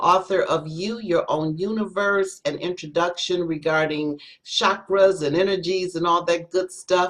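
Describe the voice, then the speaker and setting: Using a plain, everyday voice, a woman speaks slowly-ish at a fairly slow pace, fairly low in pitch, with fairly even intonation. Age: 60s. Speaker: spoken word poet. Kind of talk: self-introduction on panel.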